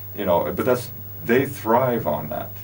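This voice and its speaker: A man speaks with an American accent and ordinary pitch variation. The room echo is audible, and there is noticeable background noise. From US West Coast, California (Los Angeles). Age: 60s. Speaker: show host, business founder. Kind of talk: casual chat. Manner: animated.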